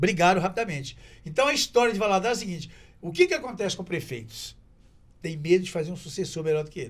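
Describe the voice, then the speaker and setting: Speaking very fast, a man uses a high pitch and lively intonation. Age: 70s. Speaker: TV presenter and local politician. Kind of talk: casual chat.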